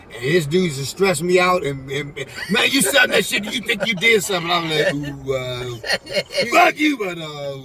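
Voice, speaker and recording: There is noticeable background noise behind a man with an American accent. He talks at a high pitch and a moderate pace. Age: 60s. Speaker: go-go musician, former drug dealer. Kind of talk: casual chat. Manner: halting, many fillers.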